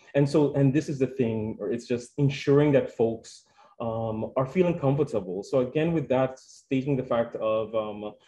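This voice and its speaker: In a Spanish accent, a man talks at a moderate pace with a dark, mellow tone, medium pitch and ordinary pitch variation. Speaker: health centre staff presenter. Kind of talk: conference presentation. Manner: halting, with many fillers.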